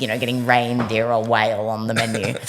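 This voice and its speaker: A woman speaks in an animated tone at a fairly quick pace, with audible room echo and noticeable background noise. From Australia (Melbourne). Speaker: rock band singer. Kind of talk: casual interview chat.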